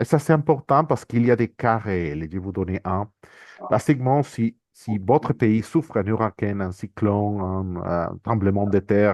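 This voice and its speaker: A man's fairly low voice at a fairly slow pace, with lively intonation. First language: not French (speaking French). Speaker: international organisation economist, speaker. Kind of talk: conference presentation. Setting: workshop with audience. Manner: halting, many repetitions and hesitations.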